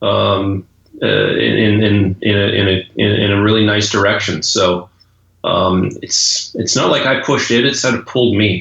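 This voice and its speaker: A man's fairly low voice with a Canadian accent and vocal fry, at a moderate pace and very even in loudness. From Canada. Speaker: golf coach. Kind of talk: interview. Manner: halting, many repeated words.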